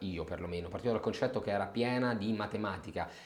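With ordinary pitch variation, a man talks fairly quickly at a medium pitch over noticeable background noise. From Rome, Italy. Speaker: general manager of a research firm. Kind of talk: interview. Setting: office.

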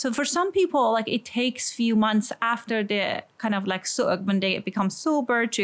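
With an Iranian accent, a woman talks at a moderate pace in a fairly high pitch, her pitch varying in an ordinary way. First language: Persian. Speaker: sex therapist. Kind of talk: interview conversation. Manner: halting, with fillers.

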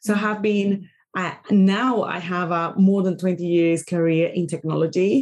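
In a Spanish accent, a woman talks at a fairly slow pace with a medium pitch and fairly even intonation. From Venezuela, Caracas. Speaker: podcast host and career coach. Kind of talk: interview.

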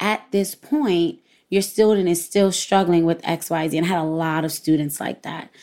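In a New York accent, a woman with a dark, mellow tone and fairly low pitch speaks at a moderate pace with fairly even intonation. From Brooklyn, New York. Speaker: former educator and parent. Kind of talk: interview conversation.

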